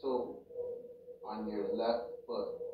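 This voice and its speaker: Speaking very slowly, a man is heard against noticeable background noise. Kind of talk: guided meditation, reading Qi Gong instructions aloud. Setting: home recording for YouTube, background audio playing. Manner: slow, measured, repetitive instruction-giving with pauses; casual, rambling, halting with fillers.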